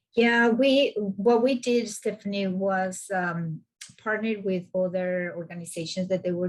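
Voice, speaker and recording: A woman speaks with a non-native accent. She talks at a fairly slow pace with ordinary pitch variation. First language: not English. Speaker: climate justice organizer. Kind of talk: video call meeting discussion.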